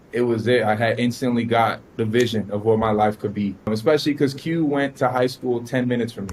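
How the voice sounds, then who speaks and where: Speaking with a Miami accent, a man at a medium pitch keeps a fairly quick pace and fairly even intonation. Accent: Miami American English. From US South, Miami, Florida. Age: 20s. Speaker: forex trader. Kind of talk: interview.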